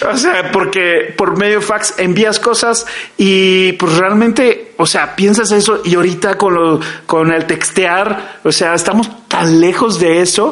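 A very slow, high-pitched male voice with fairly even intonation and very even loudness, plus audible room echo and noticeable background noise. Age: 40s. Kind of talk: casual chat.

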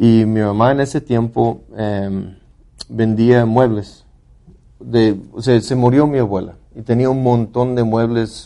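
A man speaks at a very slow pace in a medium pitch. His tone is dark and mellow, his intonation fairly even. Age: 40s. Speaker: podcast co-host. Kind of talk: casual chat.

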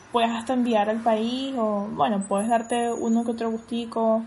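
Flat, monotone delivery at a moderate pace amid audible room echo. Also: woman. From Venezuela, Caracas. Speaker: Venezuelan emigrant. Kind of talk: casual chat.

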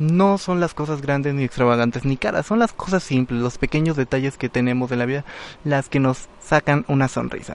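A man's animated tone at a moderate pace, with lively intonation. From Mexico, Guerrero. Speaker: radio host. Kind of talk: casual radio talk.

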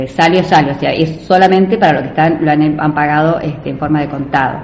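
Over noticeable background noise and audible room echo, a woman with a very deep, low pitch speaks with fairly even intonation. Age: 50s. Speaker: doctor and charity organizer. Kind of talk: interview.

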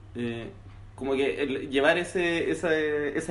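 A man's fairly high voice with a Chilean accent, and some room echo audible. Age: 20s. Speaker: music producer. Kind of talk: casual chat.

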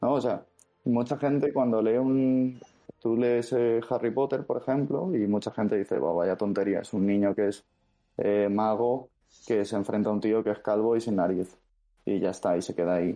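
Moderate in pace, a man talks in a plain, everyday voice. The variation in his pitch is ordinary. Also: medium pitch for a man. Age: 20s. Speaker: fantasy novelist. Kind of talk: interview.

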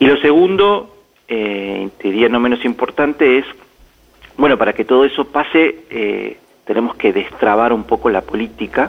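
A man with a medium pitch talks at a fairly slow pace. His intonation is lively. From Argentina. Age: 50s. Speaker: business executive turned government adviser. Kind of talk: radio interview. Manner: halting, with many repetitions and fillers.

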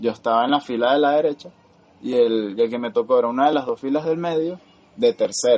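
Using lively intonation at a fairly quick pace, a man with a fairly high pitch has a normal speaking voice. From Venezuela. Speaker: podcast co-host. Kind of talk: casual chat.

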